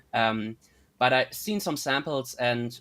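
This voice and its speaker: The voice carries a German accent and ordinary pitch variation on a very clean recording with a silent background. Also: man. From northern Germany (North Frisia). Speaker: linguistics student. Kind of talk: casual interview. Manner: halting, many fillers.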